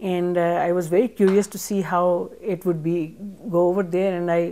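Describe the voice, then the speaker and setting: The voice has a dark, mellow tone. It moves at a fairly quick pace with monotone, flat intonation. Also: woman. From Pakistan, Punjab. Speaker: chef and cookbook author. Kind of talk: interview. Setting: library. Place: studio. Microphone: lapel.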